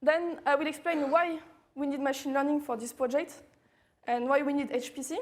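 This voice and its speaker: A woman's high voice with a French accent, moderate pace and fairly even intonation. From France. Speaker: machine learning researcher. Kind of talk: technical talk. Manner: halting, many fillers.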